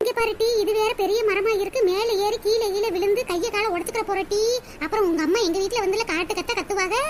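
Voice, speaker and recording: Cartoonish character voice from a woman, extremely high in pitch, at a moderate pace over clear background noise. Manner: bossy, coaxing.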